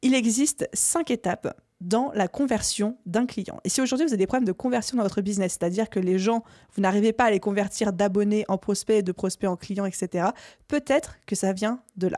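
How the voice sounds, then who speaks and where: A woman speaks at a medium pitch with ordinary pitch variation and a dark, mellow tone. Her pace is fairly quick, and the sound is dry and close with no echo. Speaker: business coach and podcast host. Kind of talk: solo podcast tutorial. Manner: conversational with frequent fillers.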